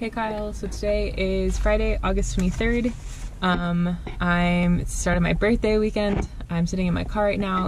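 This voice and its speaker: Against noticeable background noise, a woman speaks at a moderate pace. The sound is dry, with no echo. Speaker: vlogger. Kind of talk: casual vlog chat. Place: car. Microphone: phone near.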